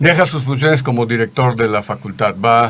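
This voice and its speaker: A man in a plain, everyday voice talks at a fairly quick pace with ordinary pitch variation. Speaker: gynecologist and YouTube host. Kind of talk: interview.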